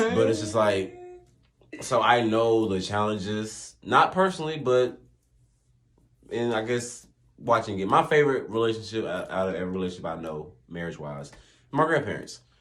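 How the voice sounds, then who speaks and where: Amid audible room echo, a man with a medium pitch speaks at a moderate pace with lively intonation and long, frequent pauses. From US South. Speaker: podcast guest, host's partner. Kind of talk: casual chat. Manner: calm, not loud.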